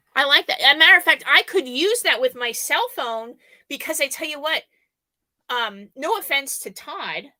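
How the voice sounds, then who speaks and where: In a dry, close recording with no echo, a woman speaks high-pitched at a moderate pace in a raised, projected voice, bright and sharp in tone and animated, with very wide pitch swings and big swings in loudness. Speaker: YouTuber, live show co-host. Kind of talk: casual chat on a live stream. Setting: live video stream.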